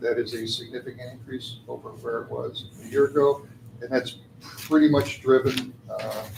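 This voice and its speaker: Over noticeable background noise, a man of medium pitch speaks with fairly even intonation. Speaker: auditor presenting financial statements. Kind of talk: financial report presentation at board meeting. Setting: board meeting. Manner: hesitant, many filler uhs.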